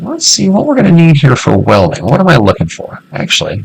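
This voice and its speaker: Noticeable background noise runs under this recording. A man speaks with an American accent. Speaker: gaming youtuber. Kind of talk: let's play commentary. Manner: casual, conversational.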